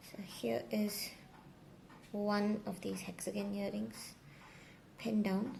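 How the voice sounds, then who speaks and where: A soft-spoken woman over light background noise. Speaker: crochet maker and tutorial creator; tutorial creator. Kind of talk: tutorial. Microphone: phone near.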